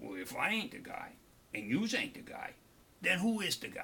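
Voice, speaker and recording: A raspy, put-on character voice from a man, high-pitched, raised and projected, at a moderate pace. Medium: read story. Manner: tough, crude, blunt.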